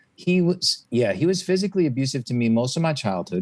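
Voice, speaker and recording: A man talks at a fairly quick pace. He speaks with an American accent. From Massachusetts (Newton, near Boston). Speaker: singer-songwriter, author and coach. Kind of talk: interview.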